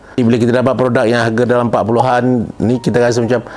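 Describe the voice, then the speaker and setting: Noticeable background noise runs under the recording. A man with a medium pitch talks at a very fast pace. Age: 60s. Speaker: drama and film director. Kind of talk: product testimonial. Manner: casual conversational.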